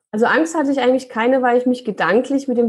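A woman speaks in a high pitch with fairly even intonation. The recording is very clean, with a silent background. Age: 30s. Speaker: real estate investor. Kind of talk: interview.

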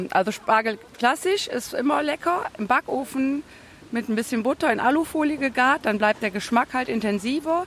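Against noticeable background noise, a woman speaks with a high pitch. Her intonation is lively and her pace moderate. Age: 40s. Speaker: farm worker selling asparagus. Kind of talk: interview. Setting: outdoor farmers market.

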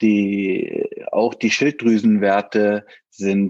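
A man speaks with a fairly low pitch. The sound is dry and close, with no echo. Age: 40s. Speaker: father of a child with Down syndrome, IT manager. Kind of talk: interview. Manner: halting, many filler words.

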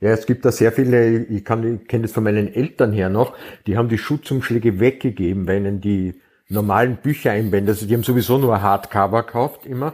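In a very clean recording with a silent background, a man talks in a plain, everyday voice at medium pitch, a fairly quick pace and fairly even intonation. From Austria. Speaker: crime novelist. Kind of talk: casual chat.

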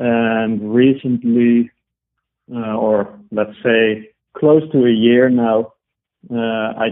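In a Dutch accent, the speaker talks with monotone, flat intonation. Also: man. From Netherlands. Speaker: IT consultant and electric road trip blogger. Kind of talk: interview. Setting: phone call.

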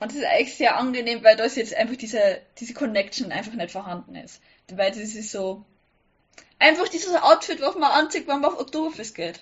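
A woman's high-pitched voice at a fairly quick pace, with very wide pitch swings and big swings in loudness. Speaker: sewing blogger. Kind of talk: casual chat. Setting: online call.

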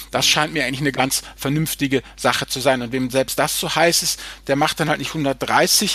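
The speaker is a man with a fairly high pitch. His tone is bright and sharp. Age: 50s. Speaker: finance blogger. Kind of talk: casual chat. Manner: halting.

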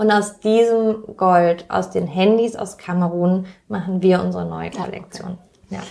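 A woman in a plain, everyday voice talks at a medium pitch and moderate pace, her intonation fairly even but her loudness swinging widely. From Germany, Pforzheim. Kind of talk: interview.

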